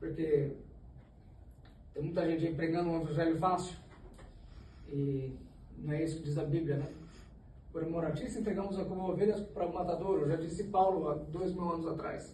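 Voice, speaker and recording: Amid noticeable background noise and audible room echo, a man with a high pitch talks at a moderate pace with fairly even intonation and long, frequent pauses. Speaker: Sunday school teacher. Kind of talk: Bible study lesson. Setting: church. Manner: halting, self-correcting.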